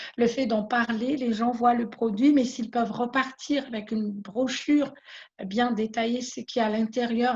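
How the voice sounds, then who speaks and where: Her voice fairly high in pitch, a woman speaks with a Malagasy accent. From Madagascar. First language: Malagasy (speaking French). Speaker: small business owner. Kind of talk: interview testimony. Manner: halting, many repetitions.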